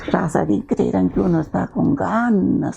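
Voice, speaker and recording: A woman speaks over noticeable background noise. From Peru, Ancash highlands. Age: 70s. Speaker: children's author and teacher. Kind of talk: interview, casual storytelling. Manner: animated.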